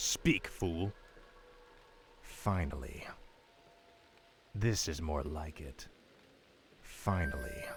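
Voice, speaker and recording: Using a put-on character voice, a man speaks very slowly in a very deep, low pitch with ordinary pitch variation and long, frequent pauses. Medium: video game. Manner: cold, commanding.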